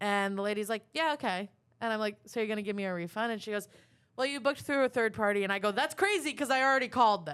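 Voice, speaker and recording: In a very clean recording with a silent background, a woman with an American accent speaks very fast at a fairly high pitch, her tone animated and her pitch varying in an ordinary way. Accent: Long Island, stronger when angry. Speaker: comedian, podcast co-host. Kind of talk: casual chat, storytelling.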